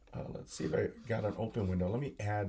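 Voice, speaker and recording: A man talks with ordinary pitch variation in a dark, mellow, somewhat breathy tone. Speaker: solo livestream host. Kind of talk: casual live stream monologue. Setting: home camera setup, live stream. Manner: halting, repetitive.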